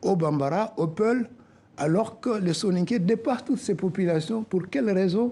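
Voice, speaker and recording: A man with a West African accent talks at a moderate pace in a high pitch, with ordinary pitch variation and a dark, mellow tone. His loudness stays very even against a quiet background. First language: Soninke (speaking French). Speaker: association president, accountant. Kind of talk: TV interview.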